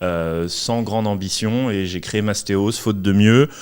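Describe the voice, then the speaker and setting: A man speaks at a fairly low pitch with ordinary pitch variation in a normal speaking voice. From Paris, France. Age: 30s. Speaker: entrepreneur. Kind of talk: podcast interview.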